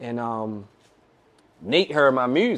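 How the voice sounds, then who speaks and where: A man with a medium pitch talks fairly slowly, his pitch varying in an ordinary way. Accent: Baltimore. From Baltimore, US (east side). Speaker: rapper. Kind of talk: casual interview chat.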